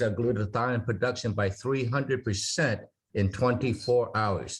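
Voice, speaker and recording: A man speaks at a moderate pace and medium pitch, sounding somewhat breathy. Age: 60s. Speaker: product presenter. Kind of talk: Zoom Q&A presentation. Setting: video call. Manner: halting.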